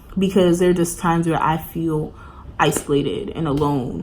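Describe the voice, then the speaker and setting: With audible room echo, a woman in a New York accent speaks at a fairly low pitch with fairly even intonation. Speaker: college student vlogger. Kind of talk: casual chat. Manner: casual, filler-heavy.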